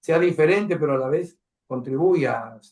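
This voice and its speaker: A man talks at a fairly slow pace with lively intonation. He has an unremarkable speaking voice. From Peru. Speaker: cultural program host. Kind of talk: interview.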